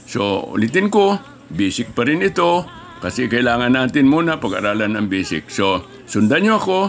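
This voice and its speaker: A man's medium-pitched voice with very wide pitch swings, at a moderate pace, over music in the background. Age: 80s+. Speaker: martial arts instructor. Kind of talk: tutorial.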